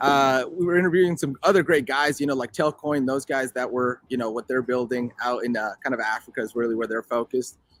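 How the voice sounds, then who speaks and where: A man speaks at a very fast pace with hardly any pauses and ordinary pitch variation. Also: medium pitch for a man, dry, close sound with no echo. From Mexico, then Colorado from age six. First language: Spanish. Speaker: crypto entrepreneur, co-founder. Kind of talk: interview conversation. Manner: casual, lots of fillers.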